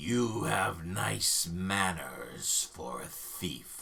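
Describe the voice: A man does a booming put-on character voice at a very slow pace, with clear background noise behind him.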